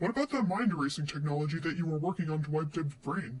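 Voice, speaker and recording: A man's put-on character voice at a very fast pace, fairly high in pitch. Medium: audio drama. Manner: calm, polite, reasonable.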